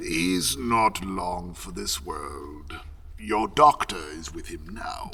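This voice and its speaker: A man puts on a character voice at a very slow pace. Clear background noise can be heard. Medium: audio drama. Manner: polite, measured.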